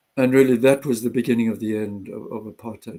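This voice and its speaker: A man's medium-pitched, dark, mellow voice with a South African accent, fairly quick and monotone in flat intonation. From South Africa, Johannesburg. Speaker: retired doctor and activist. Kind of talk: interview. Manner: halting.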